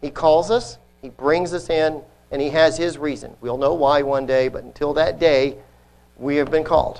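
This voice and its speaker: Speaking at a moderate pace, a man with an ordinary speaking voice keeps his fairly high pitch in fairly even intonation. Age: 50s. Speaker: lay preacher. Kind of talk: sermon. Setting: congregation.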